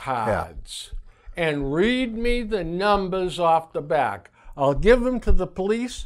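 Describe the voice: Speaking slowly, a man uses a high pitch with big pitch swings.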